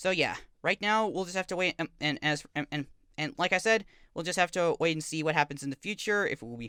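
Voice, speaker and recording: Heard with a dry, close sound and no echo, a man talks very fast at a high pitch with ordinary pitch variation. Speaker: author and video blogger. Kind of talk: casual update video. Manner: halting, stuttering; many repetitions and fillers.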